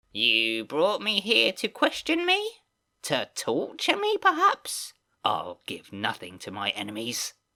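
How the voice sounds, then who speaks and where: Fairly slow male speech in a put-on character voice. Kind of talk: read story. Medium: read story. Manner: defiant, suspicious.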